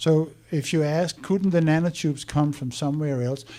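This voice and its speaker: A man's voice sits fairly high, with a dark, mellow tone. His pitch varies in an ordinary way. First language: not English. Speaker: conference speaker on science. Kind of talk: presentation talk.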